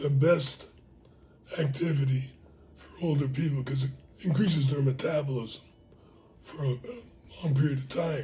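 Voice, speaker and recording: Audible room echo colors a man's fairly high pitch as he talks at a moderate pace with fairly even intonation. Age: 80s+. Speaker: retired teacher and coach. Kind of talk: interview.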